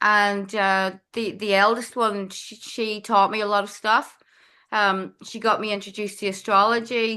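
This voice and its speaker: Over a quiet background, a woman with a Northern Irish accent speaks at a fairly slow pace in a fairly high pitch. Her tone is bright and sharp, with big swings in loudness. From Northern Ireland. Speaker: astrologer. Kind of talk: podcast interview. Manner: casual, with frequent fillers.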